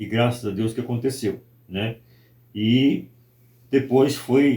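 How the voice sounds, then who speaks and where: A man speaks at a medium pitch with fairly even intonation. His tone is dark and mellow and somewhat breathy. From Brazil, Espírito Santo. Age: 60s. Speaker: pastor. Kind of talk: interview testimony.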